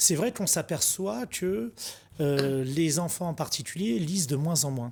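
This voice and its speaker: A man's fairly high voice, with lively intonation, moves at a fairly slow pace through noticeable background noise. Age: 40s. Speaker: book wholesaler, shop manager. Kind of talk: TV interview. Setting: TV studio.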